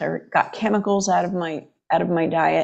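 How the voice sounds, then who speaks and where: Against a quiet background, a woman talks with a fairly low pitch. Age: 60s. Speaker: chiropractor. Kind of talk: interview.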